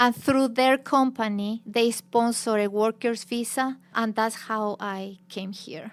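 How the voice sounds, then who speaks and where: A fairly high-pitched woman's voice with a Chilean Spanish accent, very slow pace, hardly any pauses, fairly even intonation and big swings in loudness. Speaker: teacher and former journalist. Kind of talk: interview.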